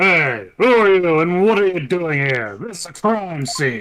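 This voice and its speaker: In a put-on character voice, a man speaks high at a moderate pace with very wide pitch swings. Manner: heroic, cartoonish.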